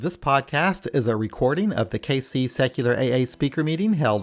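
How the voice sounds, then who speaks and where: Over music in the background, a man talks at a fairly quick pace with lively intonation. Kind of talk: podcast introduction.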